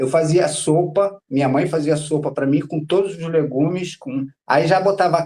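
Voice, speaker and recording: A man speaks at a fairly slow pace in a fairly high pitch, his dark, mellow tone carrying fairly even intonation. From Rio de Janeiro, Brazil. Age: 60s. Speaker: patient guest sharing illness story. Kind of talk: casual interview testimony. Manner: halting, repetitive.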